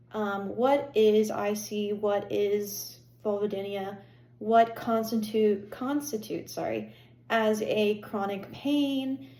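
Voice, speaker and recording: Audible room echo surrounds a woman with an American accent who speaks at a very slow pace with ordinary pitch variation. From Pennsylvania. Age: 20s. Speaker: health vlogger. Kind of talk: personal vlog monologue. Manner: hesitant, many fillers.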